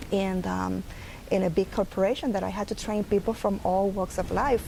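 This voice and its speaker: A woman speaks with a Puerto Rican accent. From Puerto Rico. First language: Spanish. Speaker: early intervention program director. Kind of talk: interview.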